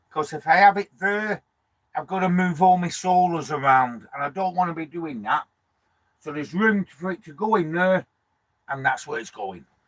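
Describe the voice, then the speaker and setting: A moderate pace in a dry, close sound with no echo. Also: man, big swings in loudness. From northern England, Lancashire (Preston). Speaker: vanlife vlogger. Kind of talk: casual live stream chat reading comments. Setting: parked up in a van, live stream. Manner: chatty, informal.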